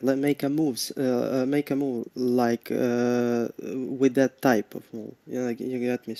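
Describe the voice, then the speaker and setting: In a put-on character voice, a man mumbles at a moderate pace with a medium pitch and monotone, flat intonation, the sound dry and close with no echo. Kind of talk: casual, hesitant. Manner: mumbling.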